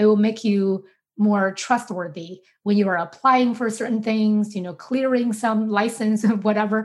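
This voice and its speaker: Moderately paced speech with a Chinese accent and fairly even intonation on a very clean recording with a silent background. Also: woman, fairly high pitch for a woman. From China, Beijing. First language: Mandarin Chinese. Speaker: sociology professor. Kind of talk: academic interview.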